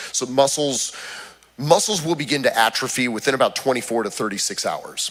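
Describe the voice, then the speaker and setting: Amid noticeable background noise, a man at a medium pitch talks at a fairly quick pace with lively intonation. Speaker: fitness trainer. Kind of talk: health talk to church audience. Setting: church hall with audience.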